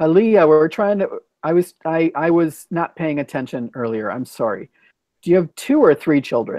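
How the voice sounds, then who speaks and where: In an ordinary speaking voice, a man talks at a moderate pace and fairly high pitch with lively intonation. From United States. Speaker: English conversation host. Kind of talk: casual chat. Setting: video call.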